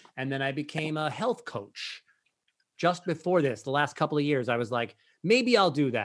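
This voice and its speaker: A man talks in an ordinary speaking voice at a moderate pace. His pitch is fairly high, with lively intonation. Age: 50s. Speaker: Broadway performer and breathwork teacher. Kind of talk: interview.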